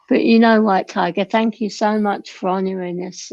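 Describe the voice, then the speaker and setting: Soft-spoken and with vocal fry, a woman talks in a British accent, her tone dark and mellow and her intonation fairly even. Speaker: livestream panelist. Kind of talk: casual chat.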